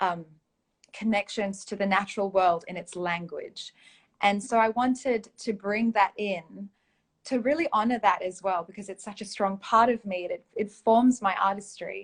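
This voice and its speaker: Somewhat breathy, a woman speaks with fairly even intonation and big swings in loudness. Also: medium pitch for a woman, moderate pace. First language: Malay (one of several mother tongues). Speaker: poet and performer. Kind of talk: interview. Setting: live online stream.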